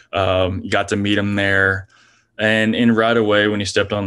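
A man with an American accent, fairly low in pitch and monotone, flat in intonation, at a moderate pace against a quiet background. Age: 20s. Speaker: professional baseball pitcher. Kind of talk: interview. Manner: halting, many fillers.

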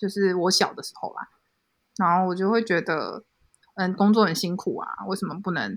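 A somewhat breathy woman with a Taiwanese accent at a fairly quick pace, in a very clean recording with a silent background. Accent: Taiwanese Mandarin. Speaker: illustrator. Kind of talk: casual chat.

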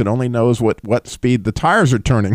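Here a man has an ordinary speaking voice at a medium pitch. He speaks at a fairly quick pace in a dry, close sound with no echo. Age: 60s. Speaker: radio host. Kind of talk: call-in radio show.

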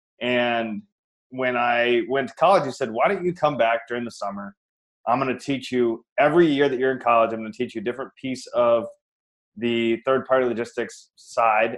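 The speaker is a man with an American accent and a plain, everyday voice. He moves at a fairly quick pace with ordinary pitch variation. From Iowa, US Midwest. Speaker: real estate investor. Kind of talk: interview.

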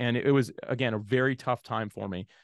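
With an American accent, a man speaks in an ordinary speaking voice at a medium pitch with ordinary pitch variation, the sound dry and close with no echo over a quiet background. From Jacksonville, Florida, US. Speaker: podcasting software founder. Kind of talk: interview.

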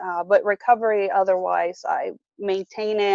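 A woman with a non-native accent speaks at a very slow pace and medium pitch with fairly even intonation, in a dry, close sound with no echo. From moved to the US at age 10. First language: not English. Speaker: mother in eating disorder recovery. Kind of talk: personal testimony interview. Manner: hesitant, many fillers.

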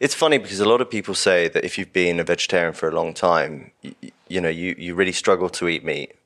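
A man with a southern English accent talks at a very fast clip with hardly any pauses, his loudness swinging widely against a quiet background. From London, southern England. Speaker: hunting course founder. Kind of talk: casual interview.

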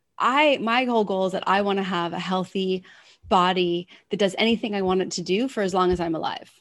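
A woman's normal speaking voice at a medium pitch. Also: ordinary pitch variation, fairly quick pace. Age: 40s. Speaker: wellness coach. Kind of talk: interview.

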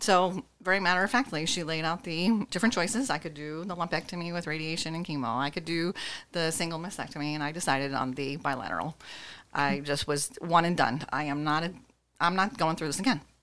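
A woman speaks at a fairly quick pace with a fairly low pitch and ordinary pitch variation, in a normal speaking voice. The recording is very clean, with a silent background. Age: 50s. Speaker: breast cancer survivor. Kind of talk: interview testimony.

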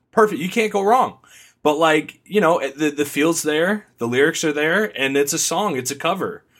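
A plain, everyday voice talks at a moderate pace with ordinary pitch variation. The recording is very clean, the background silent. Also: man, fairly high pitch for a man. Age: 20s. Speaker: podcaster guest. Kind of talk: casual chat.

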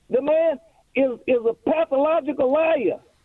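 A man speaks at an extremely high pitch with ordinary pitch variation. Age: 80s. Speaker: caller. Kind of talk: phone call to talk radio. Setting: phone call. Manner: halting, repeats words.

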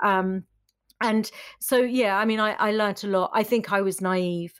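Heard on a very clean recording with a silent background, a woman talks at a fairly slow pace in an ordinary speaking voice. Her medium pitch follows a fairly even intonation. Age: 50s. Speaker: entrepreneur and podcast host. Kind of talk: interview.

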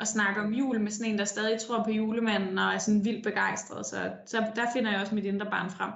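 Over noticeable background noise and audible room echo, a woman with a fairly high pitch speaks fairly quickly in a flat monotone, with hardly any pauses and very even loudness. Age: young. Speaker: politician. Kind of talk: interview. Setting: remote call from her office.

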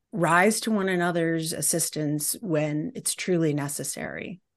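A woman with an American accent and an unremarkable speaking voice talks fairly slowly at a fairly low pitch against a quiet background. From US Midwest, Detroit. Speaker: professor and anthropologist. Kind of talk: interview conversation.

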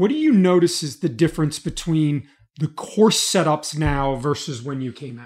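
Recorded very cleanly against a silent background, a man with an unremarkable speaking voice and fairly high pitch talks at a moderate pace, with ordinary pitch variation and big swings in loudness. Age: 50s. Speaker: golf instructor and podcast host. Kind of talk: casual interview.

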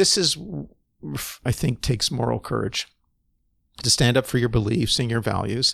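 Heard in a very clean recording with a silent background, a man with a Canadian accent speaks at medium pitch and a moderate pace, with vocal fry, ordinary pitch variation and long, frequent pauses. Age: 60s. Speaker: physician providing medically assisted dying. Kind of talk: interview conversation.

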